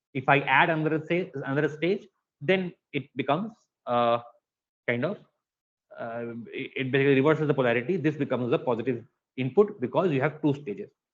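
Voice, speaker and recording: A man's fairly high voice at a fairly quick pace, with long, frequent pauses and ordinary pitch variation. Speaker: lecturer. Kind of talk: lecture. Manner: fast.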